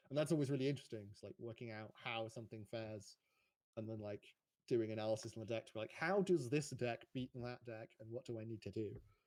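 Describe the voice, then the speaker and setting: This man talks at a very fast pace and a medium pitch. His pitch varies in an ordinary way. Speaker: competitive card game player. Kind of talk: post-match interview.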